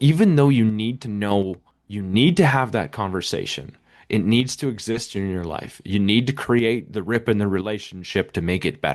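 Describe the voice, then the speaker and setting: Over a quiet background, a man with a plain, everyday voice speaks at a moderate pace with a fairly low pitch and ordinary pitch variation. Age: 40s. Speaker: podcast guest, recovering alcoholic and podcaster. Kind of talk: interview.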